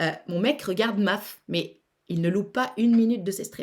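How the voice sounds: At a moderate pace, a woman speaks at medium pitch with ordinary pitch variation and a slightly mellow tone.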